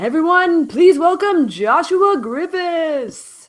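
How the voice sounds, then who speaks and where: A woman's put-on character voice, extremely high-pitched and very slow. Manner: announcer-like, showy.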